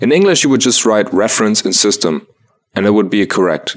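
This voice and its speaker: Pitched fairly low, a man speaks with a German accent. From Germany. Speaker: community news reader. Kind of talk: scripted news segment.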